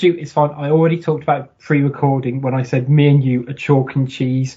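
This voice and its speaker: Somewhat breathy and fairly high in pitch, a man talks at a fairly quick pace with monotone, flat intonation. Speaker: football podcaster. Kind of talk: casual chat.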